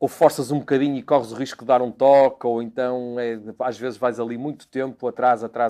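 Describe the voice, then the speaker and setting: Against a quiet background, a man with a medium pitch and a dark, mellow tone speaks with fairly even intonation. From Portugal, Porto. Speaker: racing driver. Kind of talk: interview monologue. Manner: hesitant, repeats words.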